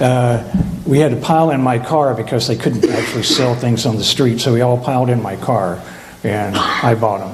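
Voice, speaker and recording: A man talks at a medium pitch. Room echo is audible, and background noise is noticeable. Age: 70s. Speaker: retreat participant. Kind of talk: testimony.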